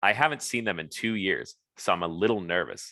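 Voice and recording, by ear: A natural voice reads aloud. Behind it, the background stays quiet.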